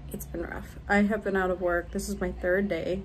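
A woman speaks at a moderate pace. Light background noise is present. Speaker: vlogger. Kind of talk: casual vlog chat. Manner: weary, feverish, low-energy speech. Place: home room. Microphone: phone near.

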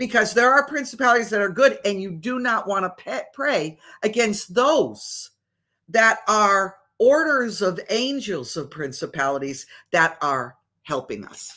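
Speaking slowly in an American accent, a woman with a fairly high, bright, sharp voice and vocal fry swings widely in both pitch and loudness over a quiet background. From Massachusetts. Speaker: religious teacher, show host. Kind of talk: casual livestream teaching; animated teaching talk. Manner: conversational, with frequent fillers.

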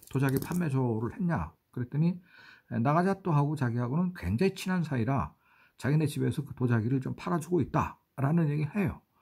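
Pitched fairly high, a man speaks at a fairly quick pace in a somewhat breathy, dark, mellow tone. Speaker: writer and travel vlogger. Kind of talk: travel vlog narration. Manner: halting, many fillers.

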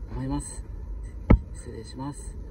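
A man speaks over loud background noise. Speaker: freestyle football vlogger. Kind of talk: casual vlog chat. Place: street. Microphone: phone near.

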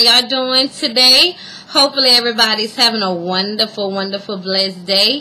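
Speaking fairly quickly, a woman has an American accent. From US South. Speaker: beauty vlogger. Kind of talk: casual video blog, product showing. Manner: hesitant, many fillers. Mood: warm, cheerful. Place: home room. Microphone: webcam.

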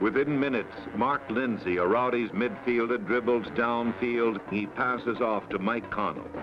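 A man speaks at a medium pitch with fairly even intonation and hardly any pauses. Noticeable background noise runs beneath him. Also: moderate pace. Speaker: sports film narrator. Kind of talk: sports highlight film narration.

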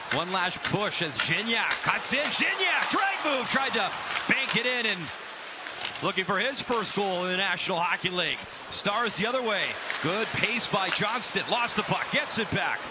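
The delivery moves at a moderate pace and the sound is dry with no echo. Loud background noise is present. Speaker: hockey play-by-play announcer. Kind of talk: live play-by-play hockey commentary. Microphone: headset.

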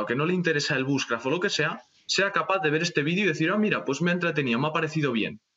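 A very fast-talking man with a fairly high pitch, ordinary pitch variation, and a quiet background. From Spain. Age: young. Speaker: bushcraft YouTuber. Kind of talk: casual chat. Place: home room. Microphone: video call.

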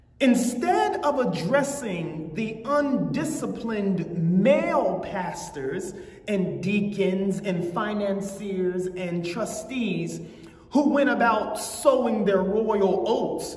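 Amid audible room echo, a man speaks at a very slow pace. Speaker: preacher. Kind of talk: sermon. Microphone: lapel.

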